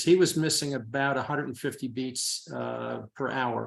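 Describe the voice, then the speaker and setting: Against a quiet background, a man with an unremarkable speaking voice talks at a moderate pace and medium pitch with ordinary pitch variation. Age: 60s. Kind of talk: casual interview answer.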